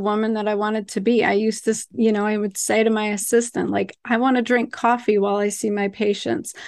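A woman's fairly high voice in a monotone, flat intonation, at a moderate pace, over a quiet background. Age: 40s. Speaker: gynecologist. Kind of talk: casual chat.

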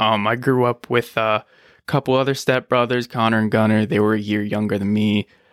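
With an American accent, the speaker talks at a fairly quick pace in monotone, flat intonation and very even loudness, on a very clean recording with a silent background and dry, close sound with no echo. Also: man, medium pitch for a man. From US, Buffalo NY and Richmond, Virginia. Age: 20s. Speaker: air force veteran and firefighter. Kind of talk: interview.

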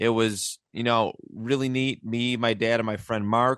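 A man speaks in a Buffalo accent with fairly even intonation. The sound is dry and close with no echo, and the background is quiet. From Buffalo, western New York. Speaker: podcast host, sports fan. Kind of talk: casual chat.

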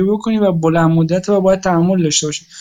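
At a fairly quick pace, a woman speaks in a medium pitch with a dark, mellow tone and ordinary pitch variation. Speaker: group member, discussing markets. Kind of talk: casual group chat.

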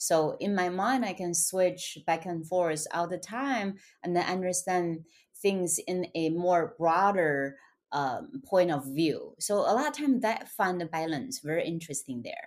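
On a very clean recording with a silent background, the speaker talks at a fairly slow pace with lively intonation in a Chinese accent. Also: woman, fairly low pitch for a woman. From China. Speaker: author and motivational speaker. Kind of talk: interview.

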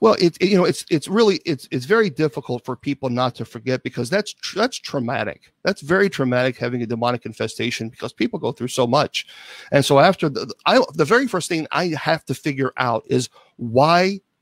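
Fairly high in pitch, a man with an unremarkable speaking voice talks at a fairly quick pace with lively intonation, the sound dry and close with no echo. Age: 50s. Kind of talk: interview.

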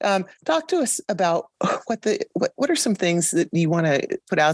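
A woman speaks at a moderate pace with ordinary pitch variation in an unremarkable speaking voice. The sound is dry and close with no echo. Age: 50s. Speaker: podcast host, veteran band director. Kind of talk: podcast interview.

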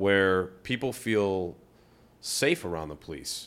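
In a very clean recording with a silent background, a man with an American accent speaks very slowly at a fairly low pitch with ordinary pitch variation. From Ohio, US Midwest. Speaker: podcast host. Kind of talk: casual interview.

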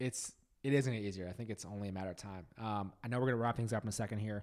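A man is speaking here. His pitch is fairly low, with ordinary variation. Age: 30s. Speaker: podcast host. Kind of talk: casual interview chat. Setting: in person, same room.

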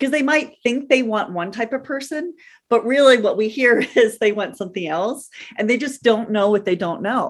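A woman with an unremarkable speaking voice talks at a moderate pace, her fairly high pitch moving with lively intonation. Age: 50s. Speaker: nanny agency owner. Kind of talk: interview.

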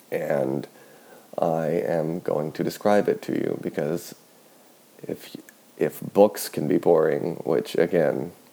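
Long pauses break up this man's speech frequently. His pace is very slow. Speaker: sleep podcast host. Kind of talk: sleep-aid monologue. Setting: at home in kitchen. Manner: soft-spoken; slow, droning with pauses.

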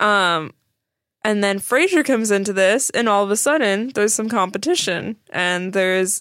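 At a moderate pace, a plain, everyday voice comes through on a very clean recording with a silent background. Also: woman. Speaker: podcast co-host. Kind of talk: casual chat. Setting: studio.

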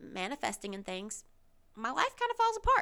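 A woman speaks with a Southern US accent. Her tone is bright and sharp, her pace moderate. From US South. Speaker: podcast host. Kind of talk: casual monologue. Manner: casual, with fillers and laughs.

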